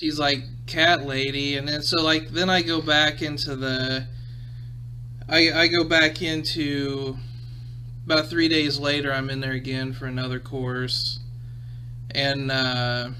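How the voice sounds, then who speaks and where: Against noticeable background noise, a man speaks at a fairly slow pace with a fairly high pitch, monotone, flat intonation and long, frequent pauses. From Midwestern US. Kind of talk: casual podcast talk. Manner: casual, rambling.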